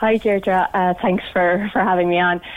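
Speaking with an Irish accent, a woman talks at a moderate pace in a medium pitch. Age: 30s. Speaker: cancer survivor caller. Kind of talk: radio phone-in. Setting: phone call.

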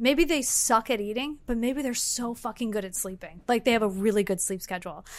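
Speaking at a fairly quick pace with hardly any pauses, a woman with an American accent uses a fairly high, animated voice with ordinary pitch variation. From Los Angeles, US. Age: 30s. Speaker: healthy lifestyle specialist. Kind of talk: casual chat.

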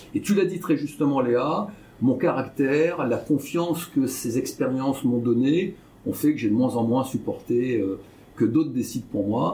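At a fairly slow pace, a man of medium pitch speaks with ordinary pitch variation and very even loudness. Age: 60s. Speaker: entrepreneur and business investor. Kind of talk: interview. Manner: halting, many hesitations.

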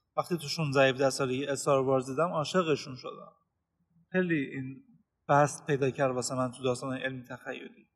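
Fairly quick speech from a man, an unremarkable speaking voice pitched medium, its intonation fairly even. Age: 20s. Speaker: podcast host. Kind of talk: casual chat.

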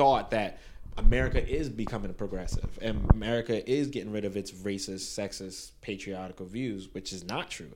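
In a New York accent, a man with a fairly low voice speaks at a moderate pace, with ordinary pitch variation and big swings in loudness. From Brooklyn, New York (Canarsie), Caribbean parents. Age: 20s. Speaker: teacher. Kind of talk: casual chat.

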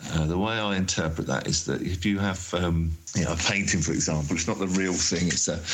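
Noticeable background noise sits under this recording. A man with a very deep, low pitch talks at a fairly quick pace. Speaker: artist and sculptor. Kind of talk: recorded voice messages. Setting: voice note recording.

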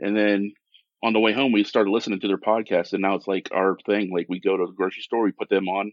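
This man speaks at a very fast pace. His pitch is fairly low, and his intonation is monotone and flat. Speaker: diorama and torch maker.

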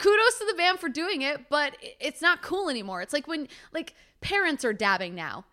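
In a very clean recording with a silent background, a woman with a Canadian accent projects a raised, high voice with a bright, sharp tone, speaking at a moderate pace with very wide pitch swings. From London, Ontario, Canada. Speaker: podcast co-host, sports broadcaster. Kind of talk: casual chat.

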